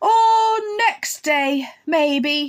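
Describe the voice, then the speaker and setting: A woman puts on a character voice at a high pitch. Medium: read story. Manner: sullen, slow, deadpan.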